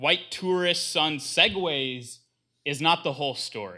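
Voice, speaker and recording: A man with vocal fry speaks at a fairly high pitch with very wide pitch swings, on a very clean recording with a silent background. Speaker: divinity school graduate. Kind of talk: presentation.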